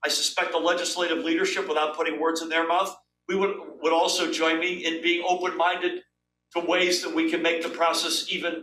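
Over light background noise and audible room echo, a man talks in a high pitch with a bright, sharp tone and monotone, flat intonation. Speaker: guest. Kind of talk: interview answer. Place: office.

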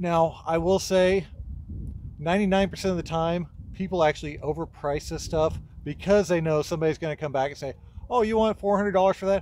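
Over light background noise, a man with a high pitch and ordinary pitch variation speaks in a dry sound with no echo. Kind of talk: tutorial. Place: farm machine. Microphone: phone near.

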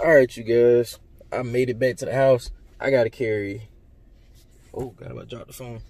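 A man talks at a moderate pace in a monotone, flat delivery, with big swings in loudness. The sound is dry with no echo, and his pauses are long and frequent. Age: 20s. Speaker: YouTuber vlogger. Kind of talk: casual vlog talk to camera. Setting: in a car. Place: car. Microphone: phone near.

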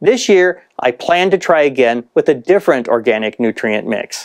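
A woman's very deep, low voice with very wide pitch swings, against a quiet background. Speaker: gardening channel host. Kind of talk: casual vlog chat. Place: home room. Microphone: lapel.

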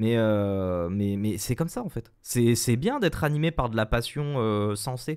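Lively intonation marks this man's speech, which moves at a fairly slow pace. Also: quiet background. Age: 20s. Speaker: streamer guest; guest. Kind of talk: casual live-stream chat. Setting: video call via webcam. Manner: hesitant, many fillers and repetitions. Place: home room. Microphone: studio mic.

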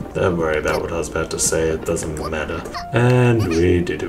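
Clear music plays behind a man whose very deep, low voice moves at a fairly quick pace with ordinary pitch variation. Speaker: gamer. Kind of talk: gameplay commentary. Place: home room.

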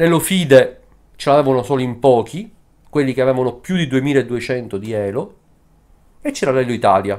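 A man's lively intonation at a moderate pace, broken by long, frequent pauses, over a quiet background. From Sicily, Italy. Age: 50s. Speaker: chess player and video commentator. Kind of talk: opinion monologue. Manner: animated. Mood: critical, impassioned. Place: home room. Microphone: webcam.

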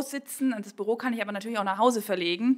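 Female speech in an ordinary speaking voice, pitched fairly high, with ordinary pitch variation. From Bavarian Swabia, Kaufbeuren. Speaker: pastor. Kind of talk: interview.

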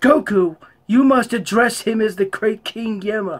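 This put-on character voice has a fairly high pitch and moves at a moderate pace. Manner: calm, solemn.

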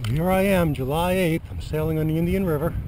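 Speech moves at a moderate pace, with a dry sound that has no echo and noticeable background noise. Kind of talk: casual vlog chat. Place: boat.

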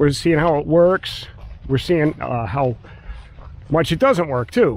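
At a moderate pace, a man talks in a dry sound with no echo. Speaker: drone hobbyist vlogger. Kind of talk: casual vlog chat. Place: open country. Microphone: phone near.

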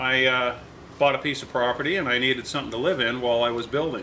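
There is light background noise. A man is speaking. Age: 60s. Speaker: vintage trailer restorer and video host; channel host. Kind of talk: tutorial. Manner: casual, halting with fillers. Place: garage.

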